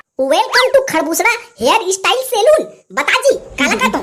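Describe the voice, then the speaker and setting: In a squeaky, cartoonish character voice at an extremely high pitch, the speaker talks at a fairly quick pace. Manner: brash, mocking.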